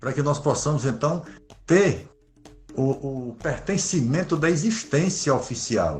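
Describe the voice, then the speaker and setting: Fairly slow speech from a man with a fairly high pitch, music playing in the background. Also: ordinary pitch variation. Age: 60s. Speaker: Afro-Brazilian religious leader. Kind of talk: interview.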